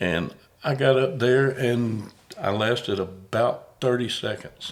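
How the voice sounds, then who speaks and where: With a Southern US accent, a man talks very slowly at a medium pitch with ordinary pitch variation. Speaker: podcast host and comedian. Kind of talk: casual chat.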